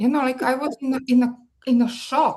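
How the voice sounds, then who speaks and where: A woman speaks with a Serbian accent. Her voice is somewhat breathy. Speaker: marketing strategist. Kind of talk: guest talk. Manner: hesitant, many fillers.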